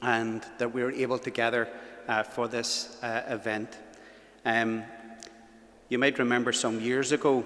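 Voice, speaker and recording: A man in a Belfast accent, medium in pitch and flat in intonation, at a fairly slow pace with long, frequent pauses. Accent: Belfast Northern Irish. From Northern Ireland, West Belfast. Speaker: event host, youth ministry worker. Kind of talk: event hosting speech. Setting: church with live audience and webcam.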